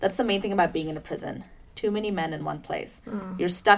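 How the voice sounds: The voice reads naturally, with pitch shifting in an ordinary way.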